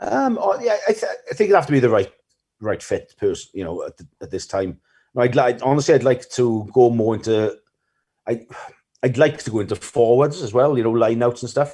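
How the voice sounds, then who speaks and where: Fairly quick speech in a South Wales Valleys accent, dark and mellow in tone, with ordinary pitch variation and big swings in loudness. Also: man, medium pitch for a man. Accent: Welsh Valleys. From Wales, the Valleys. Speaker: rugby coach. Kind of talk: podcast interview. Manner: fast; mumbling.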